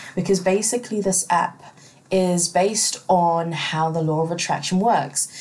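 With a normal speaking voice, a woman talks at a moderate pace, her fairly low pitch, fairly even intonation and very even loudness holding throughout. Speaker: podcast host. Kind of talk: casual chat. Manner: casual, laughing.

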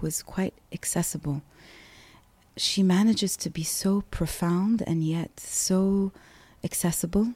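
Recorded very cleanly against a silent background, a woman speaks at a medium pitch with ordinary pitch variation, her voice somewhat breathy with a dark, mellow tone. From Kuwait, raised in many places. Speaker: poet and oral historian. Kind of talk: interview conversation.

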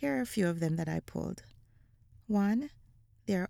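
On a very clean recording with a silent background, a woman with a Jamaican accent speaks at a fairly low pitch in a warm, dark, mellow tone. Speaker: podcast host and educator. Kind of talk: casual conversational interview. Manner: warm, laughs often.

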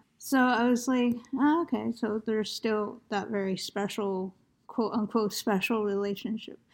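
A woman with a plain, everyday voice and an American accent speaks at a moderate pace and fairly high pitch on a very clean recording with a silent background. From United States. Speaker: poetry podcast host. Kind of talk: conversational interview with scripted announcements. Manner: formal.

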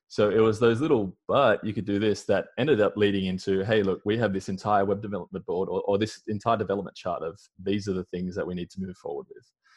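Man with an Australian accent, fairly low-pitched, racing at a very fast pace with hardly any pauses, fairly even intonation and big swings in loudness. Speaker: marketing consultant. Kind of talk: casual interview chat. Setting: video call from home.

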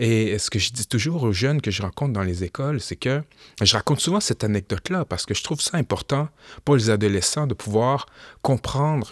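A Quebec accent at a moderate pace with lively intonation, in a dry, close sound with no echo. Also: man. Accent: Québécois French. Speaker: rapper and historian. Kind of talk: interview.

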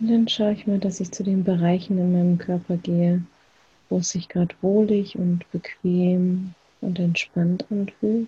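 Speaking at a fairly slow pace, a woman with a medium pitch sounds somewhat breathy, her tone dark, mellow, calm and soothing, her intonation flat and monotone. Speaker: meditation guide. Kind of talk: guided meditation. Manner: slow, calm, soothing with long pauses; soft-spoken, gentle, unhurried.

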